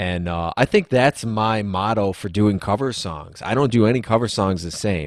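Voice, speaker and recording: Recorded very cleanly against a silent background, a man speaks at a moderate pace and fairly low pitch, with ordinary pitch variation and hardly any pauses. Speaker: singer-songwriter musician. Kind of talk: casual interview chat.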